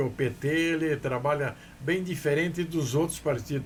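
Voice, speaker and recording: A man at a fairly slow pace, with fairly even intonation and audible room echo. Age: 80s+. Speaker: businessman. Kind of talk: interview. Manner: halting.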